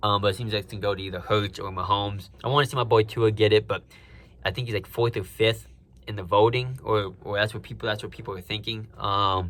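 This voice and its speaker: Speaking at a very fast pace, a man with a fairly low pitch makes big swings in loudness. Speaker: sports podcaster. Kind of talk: casual solo podcast chat.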